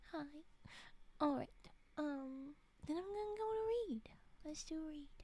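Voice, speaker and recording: A woman whispers at a fairly slow pace. She is soft-spoken. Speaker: streamer reading spooky stories. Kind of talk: casual chat with reading aloud. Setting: live stream. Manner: whispering.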